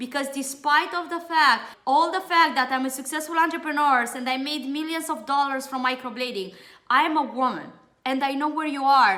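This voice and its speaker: A high-pitched woman speaks in a raised, projected voice with a bright, sharp tone and ordinary pitch variation. Her pace is moderate, and the room echo is audible. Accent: strong Romanian. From Romania. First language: Romanian. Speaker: beauty trainer and entrepreneur. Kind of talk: webinar sales pitch.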